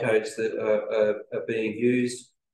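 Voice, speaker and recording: The speaker has a New Zealand accent, and audible room echo surrounds the voice. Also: man. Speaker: company representative presenting engineering product. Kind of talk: business presentation.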